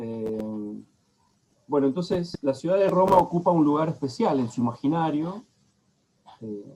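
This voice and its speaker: Lively intonation marks a man's fairly high, dark, mellow voice, which moves at a fairly slow pace with long, frequent pauses. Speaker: lecturer on psychoanalysis. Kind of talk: lecture.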